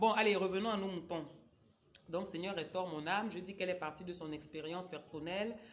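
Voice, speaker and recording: Audible room echo around a woman's voice, medium in pitch with ordinary variation. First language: a Cameroonian local language (speaking French). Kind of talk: casual book review vlog. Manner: hesitant, many fillers.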